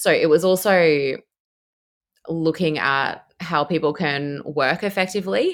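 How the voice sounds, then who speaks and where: A woman with an Australian accent, fairly low-pitched, fairly slow, with ordinary pitch variation. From Australia, Brisbane. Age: 30s. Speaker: cloud engineer. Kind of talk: casual interview.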